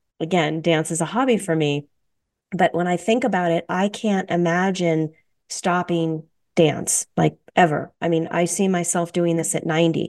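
A woman speaks in a plain, everyday voice at a fairly low pitch. Her pace is moderate and her intonation fairly even. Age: 50s. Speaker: radio host, holistic dietitian. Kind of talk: casual interview.

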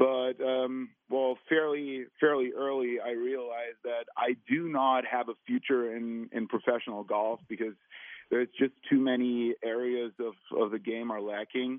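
Fairly even intonation marks this man's speech. He has a German accent. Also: medium pitch for a man, fairly slow pace. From Germany. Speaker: long drive golfer. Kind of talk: interview.

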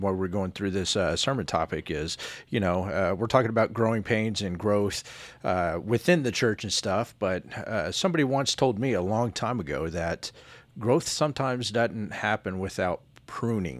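This is a man's voice. Its pitch is medium. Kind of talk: casual chat.

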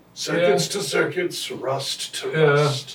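Putting on a character voice, a man speaks at a very slow pace with a fairly high pitch. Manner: sermon-like, solemn preacherly cadence.

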